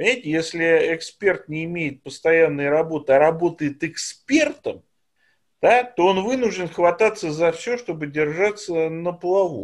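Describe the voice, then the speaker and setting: A man speaks at a fairly slow pace in a high pitch, with ordinary pitch variation, on a very clean recording with a silent background. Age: 50s. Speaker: political scientist, professor. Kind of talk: interview.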